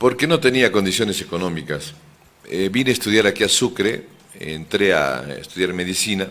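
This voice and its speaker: A man at a moderate pace with a fairly low pitch. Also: lively intonation. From Bolivia, moved around mining regions. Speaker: lawyer and political candidate. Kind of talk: radio interview.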